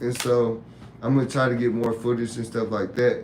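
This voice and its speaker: Audible room echo surrounds a man speaking at a moderate pace in a medium-pitched voice. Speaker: YouTube live host and tattoo artist. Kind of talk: casual live-stream talk. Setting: live stream.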